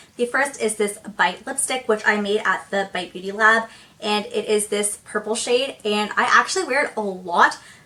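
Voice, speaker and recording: With noticeable background noise, a woman talks at a fairly high pitch with ordinary pitch variation. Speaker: beauty youtuber. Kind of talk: casual product review vlog. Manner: fast; animated.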